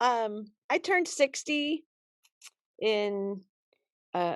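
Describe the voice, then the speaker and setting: The pitch swings very widely up and down. The sound is dry and close, with no echo. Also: woman. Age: 60s. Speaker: self-defense instructor. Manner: animated.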